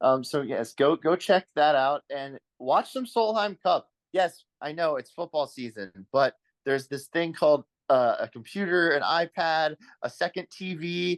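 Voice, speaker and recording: Lively intonation in an American accent at a fairly slow pace, with a dry, close sound and no echo. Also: man, fairly high pitch for a man. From Virginia, US. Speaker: golf podcast host. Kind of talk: casual podcast chat. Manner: halting.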